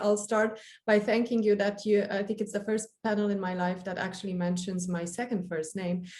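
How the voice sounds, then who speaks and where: A woman in a Romanian accent, medium-pitched and somewhat breathy, dark and mellow in tone, fairly quick, with monotone, flat intonation. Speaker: lawyer. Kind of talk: panel discussion.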